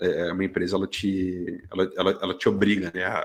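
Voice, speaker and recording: This man's voice is very deep and low, delivered at a moderate pace with flat, monotone intonation. The recording is very clean with a silent background. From Brazil, Curitiba (Paraná). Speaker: graphic designer and art director. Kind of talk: casual interview chat. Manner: hesitant, many repetitions and fillers.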